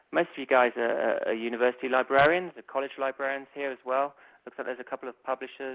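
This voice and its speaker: Speaking very fast in a British accent, a man keeps a medium pitch and monotone, flat intonation in a dry, close sound with no echo. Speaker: publishing marketing manager. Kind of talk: webinar presentation. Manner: hesitant, many fillers.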